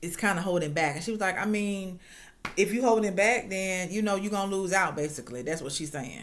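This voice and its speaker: A woman's medium-pitched voice, a normal speaking voice, with ordinary pitch variation. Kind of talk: casual reality TV recap talk to camera. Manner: chatty, informal.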